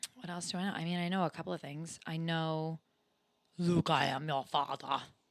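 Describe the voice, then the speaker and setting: A woman speaks at a moderate pace in a fairly low pitch with an animated tone. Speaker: podcast co-host. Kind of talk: casual chat.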